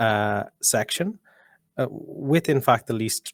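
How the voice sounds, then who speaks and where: Recorded very cleanly against a silent background, a man speaks with an Irish accent. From Ireland. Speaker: policy researcher. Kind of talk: panel discussion. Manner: halting, many repetitions.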